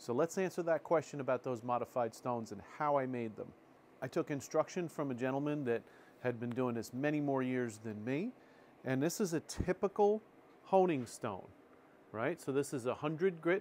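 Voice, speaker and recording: There is light background noise behind the speaker. A man talks at a moderate pace. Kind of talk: tutorial. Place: workshop. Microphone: lapel.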